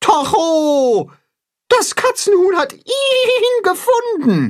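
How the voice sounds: A woman's put-on character voice, extremely high in pitch, very slow, with big pitch swings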